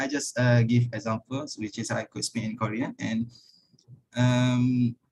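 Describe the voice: A man talks fairly slowly. His pitch sits in the medium range.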